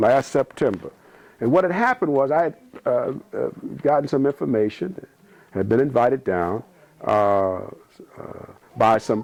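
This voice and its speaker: A man with an American accent, medium pitch and moderate pace. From US South. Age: 60s. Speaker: military veteran and former police officer. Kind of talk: interview.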